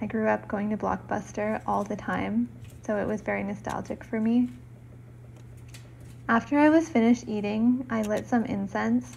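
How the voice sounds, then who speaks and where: Soft-spoken, a woman talks at a moderate pace with long, frequent pauses. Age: 30s. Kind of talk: soft-spoken lifestyle vlog narration.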